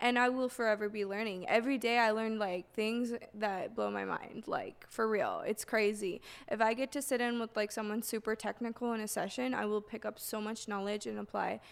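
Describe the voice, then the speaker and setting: In a very clean recording with a silent background, a woman talks at a fairly quick pace in a plain, everyday voice, fairly high in pitch, with fairly even intonation. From Canada, Toronto. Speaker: music producer and DJ. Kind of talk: casual interview chat. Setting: studio.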